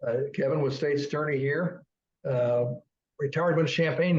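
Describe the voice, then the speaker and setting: This man talks at a fairly quick pace with a somewhat breathy voice. His pitch is fairly high and his intonation fairly even. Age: 70s. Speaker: local history webcast co-host. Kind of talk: casual chat. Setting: webcast studio.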